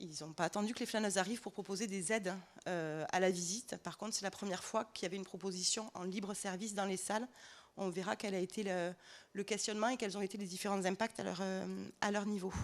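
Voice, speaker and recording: At a fairly quick pace, a woman with a medium pitch speaks with ordinary pitch variation on a very clean recording with a silent background. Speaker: startup co-founder presenting at a trade fair. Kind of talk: conference presentation. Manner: hesitant, many filler sounds.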